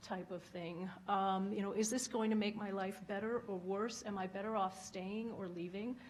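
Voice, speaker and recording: Soft-spoken and somewhat breathy, the speaker has an American accent and keeps a moderate pace. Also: woman. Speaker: former diplomat. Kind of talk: panel talk.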